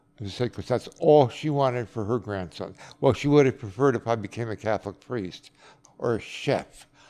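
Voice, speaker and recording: A fairly quick-paced man with a medium pitch, a dark, mellow tone, ordinary pitch variation and an American accent. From New York, Dutchess County. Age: 70s. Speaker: nursing home resident. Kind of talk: interview. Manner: reflective, halting.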